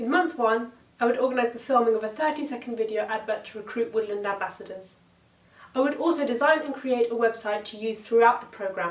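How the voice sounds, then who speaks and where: A woman's fairly high voice in a southern English accent, very fast, with ordinary pitch variation and noticeable background noise. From England, Oxford. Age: 20s. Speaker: competition entrant. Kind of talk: pitch presentation. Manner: scripted.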